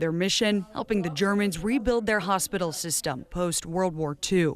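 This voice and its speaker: A plain, everyday voice from a woman, medium in pitch, with ordinary pitch variation and a moderate pace. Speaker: TV news reporter. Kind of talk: TV news report narration.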